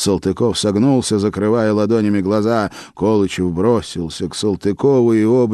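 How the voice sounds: The voice heard here reads in a natural way.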